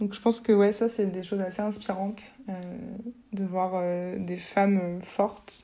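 A woman's medium-pitched, monotone voice with flat intonation, a fairly slow pace, long, frequent pauses and noticeable background noise. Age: 20s. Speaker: art history graduate and traveler. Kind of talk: interview conversation.

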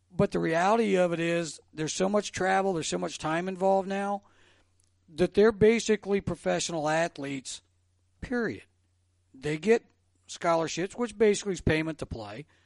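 Recorded dry and close with no echo, a man with an American accent talks at a moderate pace in a high pitch. His tone is animated, with ordinary pitch variation. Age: 60s. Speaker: former sports radio host. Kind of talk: casual chat.

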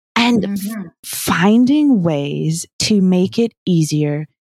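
A woman with a New Zealand accent speaks in a fairly low pitch with lively intonation. The recording is very clean, dry and close, with a silent background and no echo. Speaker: smart garden company co-founder. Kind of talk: interview conversation.

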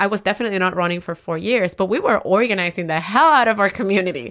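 A woman speaks with a Spanish accent at medium pitch. Her pitch varies in an ordinary way on a very clean recording with a silent background. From Puerto Rico, Humacao. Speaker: city council member and community organizer. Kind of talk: interview.

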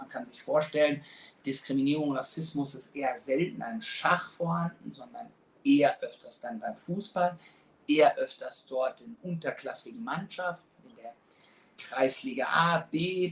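A man with a high voice speaks with lively intonation and big swings in loudness. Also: fairly slow pace. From Germany, Frankfurt. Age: 40s. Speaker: sports club president. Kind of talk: interview.

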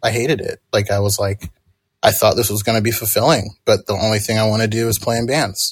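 This man talks at a very fast pace with a somewhat breathy voice. His pitch is medium and his intonation fairly even. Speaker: musician, songwriter and producer. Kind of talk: casual interview.

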